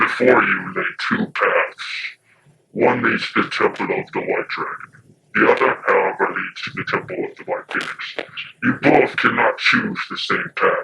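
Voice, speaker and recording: Putting on a menacing character voice, a man speaks at a moderate pace. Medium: audio drama.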